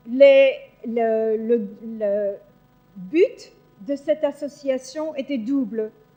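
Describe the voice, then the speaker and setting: A woman with a high pitch and ordinary pitch variation, very slow pace with long, frequent pauses, music in the background. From Belgium. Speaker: psychologist. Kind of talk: conference talk. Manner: hesitant, many fillers.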